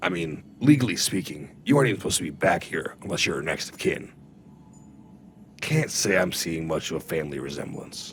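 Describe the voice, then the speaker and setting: A raspy, put-on character voice moves at a fairly quick pace. Clear background noise is heard throughout. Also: man, very deep, low pitch for a man. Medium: audio drama. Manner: dry, matter-of-fact.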